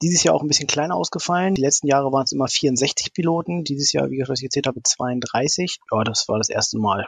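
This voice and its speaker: Very fast with hardly any pauses, a man speaks in a fairly high, somewhat breathy voice, his loudness very even and his pitch varying in an ordinary way. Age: 40s. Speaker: amateur racing drone pilot. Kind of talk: interview.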